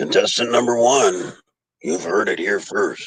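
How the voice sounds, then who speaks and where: A raspy man speaks at a moderate pace. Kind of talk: game show host patter. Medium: game stream. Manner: brisk, teasing, upbeat.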